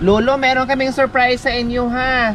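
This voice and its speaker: A high-pitched woman's voice comes through over noticeable background noise. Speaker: vlogger helping elderly people. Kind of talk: casual conversation with elderly man.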